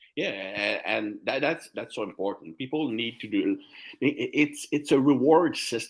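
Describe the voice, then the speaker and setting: With a French accent, a man speaks at a fairly slow pace. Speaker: strength and conditioning coach. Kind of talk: interview conversation.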